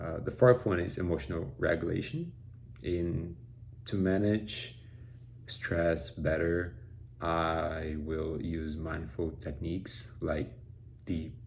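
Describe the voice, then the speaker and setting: Audible room echo surrounds a very slow voice with vocal fry and a Brazilian Portuguese accent. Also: man. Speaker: college student. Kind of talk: class presentation. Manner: halting, with fillers and repetitions.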